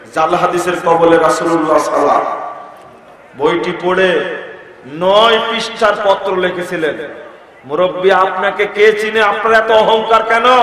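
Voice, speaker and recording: This man's voice is high-pitched, with ordinary pitch variation and very even loudness. Noticeable background noise and audible room echo are present. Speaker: Islamic preacher. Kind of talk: sermon. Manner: emphatic, repetitive.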